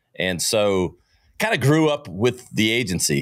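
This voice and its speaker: A man with a Southern US accent speaks at a fairly slow pace with lively intonation in a very clean recording with a silent background. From US South, Greenville, South Carolina. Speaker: entrepreneur and marketing podcast host. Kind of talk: interview. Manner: animated.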